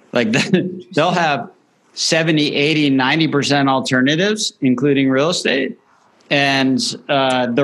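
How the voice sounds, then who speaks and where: Speaking very slowly in an American accent, a man with a fairly high voice keeps his loudness very even, with ordinary pitch variation. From Miami, Florida. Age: 40s. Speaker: investment expert. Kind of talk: interview.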